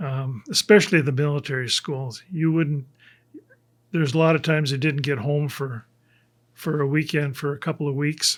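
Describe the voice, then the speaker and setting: In a very clean recording with a silent background, a man with a Minnesota accent speaks at a moderate pace, his fairly high pitch held to fairly even intonation. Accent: Upper Midwest (Minnesota) American. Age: 70s. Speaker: church member giving testimony. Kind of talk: testimony. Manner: halting.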